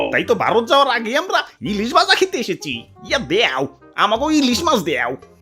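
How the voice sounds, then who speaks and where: A cartoonish character voice, fairly high in pitch, talks at a moderate pace. Faint music plays in the background. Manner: repeats verbal tic, exclamatory.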